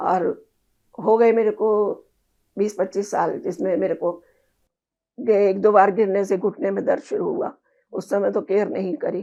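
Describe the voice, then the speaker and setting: A woman with a dark, mellow tone speaks with long, frequent pauses. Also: medium pitch for a woman, ordinary pitch variation. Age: 70s. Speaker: patient sharing health experience. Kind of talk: interview. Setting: at her home.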